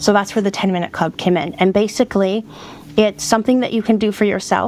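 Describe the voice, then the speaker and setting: Through noticeable background noise, a woman speaks at a very fast pace and a medium pitch. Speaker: decluttering and self-care coach. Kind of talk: podcast interview. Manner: animated.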